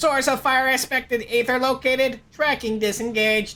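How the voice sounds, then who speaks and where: Robotic and high in pitch, a put-on character voice moves at a moderate pace. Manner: goofy.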